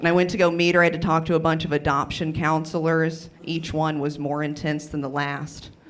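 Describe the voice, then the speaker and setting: A woman with an American accent talks at a fairly quick pace with hardly any pauses, her pitch very deep and low. Her intonation is monotone and flat, and noticeable background noise is present. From US South, western North Carolina. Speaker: stand-up comedian. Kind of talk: stand-up.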